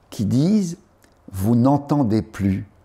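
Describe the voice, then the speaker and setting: A man's voice carries a dark, mellow tone and is somewhat breathy. His pitch swings very widely. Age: 70s. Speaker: journalist and writer. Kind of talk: interview. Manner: animated, repetitive.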